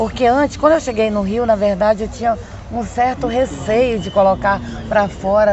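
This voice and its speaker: A woman's medium-pitched voice at a moderate pace, fairly even in intonation, with crowd noise in the background. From Amapá, northern Brazil. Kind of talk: interview testimony.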